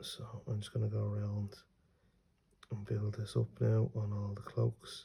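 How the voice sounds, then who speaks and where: Long, frequent pauses break up a man's fairly slow speech, his fairly low voice dark, mellow and somewhat breathy. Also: fairly even intonation. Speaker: miniature painting youtuber. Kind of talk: tutorial. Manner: casual, hesitant.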